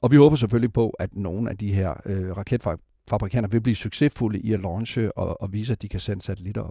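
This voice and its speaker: The man's tone is dark and mellow, and his pace is moderate. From West Jutland, Denmark. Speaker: space company CEO. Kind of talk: interview. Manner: halting.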